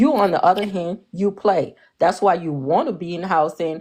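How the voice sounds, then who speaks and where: Speaking in an African accent, a woman uses an animated tone at a moderate pace and a fairly low pitch. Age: 40s. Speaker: live-stream panelist. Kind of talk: heated debate.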